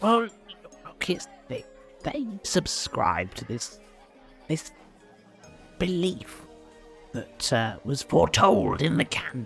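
Clear music plays in the background as a man uses a put-on character voice at a high pitch. He speaks at a very slow pace with long, frequent pauses. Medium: actual play. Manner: rambling, folksy.

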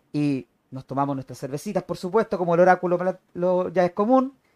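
A man's high-pitched voice with lively intonation at a moderate pace, dry and close with no echo. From Chile. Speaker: wrestling commentator. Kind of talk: casual chat.

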